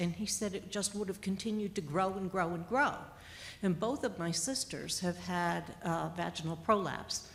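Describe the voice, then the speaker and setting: Vocal fry marks a woman's medium-pitched voice. She talks at a moderate pace with ordinary pitch variation. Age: 60s. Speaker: patient sharing experience. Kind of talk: panel discussion.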